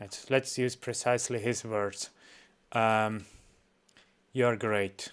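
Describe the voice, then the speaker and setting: A man with a Swiss accent at a medium pitch, very slow and monotone, with long, frequent pauses. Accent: Swiss non-native English. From Switzerland. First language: not English. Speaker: reaction streamer. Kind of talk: reaction stream, casual. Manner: halting, many fillers.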